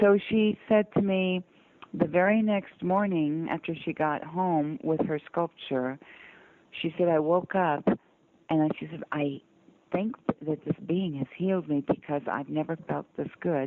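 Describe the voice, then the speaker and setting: Someone with an American accent talks in an ordinary speaking voice with ordinary pitch variation. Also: woman, fairly low pitch for a woman, fairly slow pace. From US South (Georgia, North Carolina). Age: 60s. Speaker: sculptor and abduction experiencer. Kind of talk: interview storytelling.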